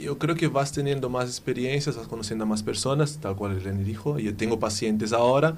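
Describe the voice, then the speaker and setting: A man with a Brazilian accent. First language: Portuguese (speaking Spanish). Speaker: physiotherapist. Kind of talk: casual chat. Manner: halting.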